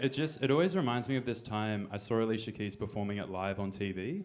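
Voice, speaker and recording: A man with an Australian accent talks at a fairly quick pace in a fairly low voice with ordinary pitch variation. Audible room echo surrounds him. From Australia (Brisbane). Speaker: comedian. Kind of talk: stand-up. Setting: stage with audience. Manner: hesitant, many fillers.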